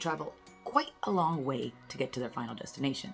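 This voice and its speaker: Music plays in the background as a woman speaks in an upbeat tone. Her pitch swings very widely. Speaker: urologist, medical educator. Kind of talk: educational talk to camera on health. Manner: upbeat, casual, conversational.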